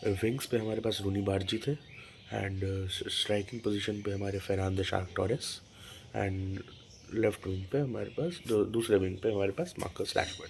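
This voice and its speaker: A man talks in a fairly low pitch. His voice is somewhat breathy. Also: ordinary pitch variation. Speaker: football channel host. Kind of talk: casual match review. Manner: halting, self-correcting; soft-spoken today.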